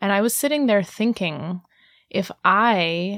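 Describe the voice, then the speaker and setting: A woman with an American accent speaks in an ordinary speaking voice at medium pitch with ordinary pitch variation. The recording is very clean with a silent background and a dry, close sound with no echo. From Indiana. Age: 30s. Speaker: sex educator. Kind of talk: radio interview. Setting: radio studio.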